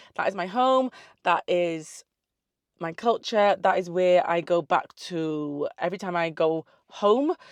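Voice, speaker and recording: Speaking in a South Wales accent, a woman with a fairly low pitch uses an animated tone, ordinary pitch variation and a fairly slow pace, in a dry, close sound with no echo and a quiet background. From South Wales (Newport and the valleys), early years in the Caribbean. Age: 30s. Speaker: online fitness coach and social media creator. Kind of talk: casual Q&A vlog. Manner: animated, chatty.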